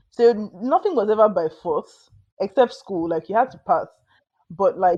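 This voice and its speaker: Speaking at a moderate pace, a woman has a dark, mellow tone and medium pitch. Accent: Nigerian. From Nigeria, Lagos. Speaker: novelist. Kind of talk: interview conversation.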